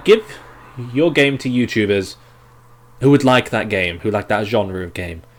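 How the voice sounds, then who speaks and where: A man talks fairly slowly over noticeable noise in the background. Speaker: game development streamer. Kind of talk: live stream Q&A. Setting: live stream. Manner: animated.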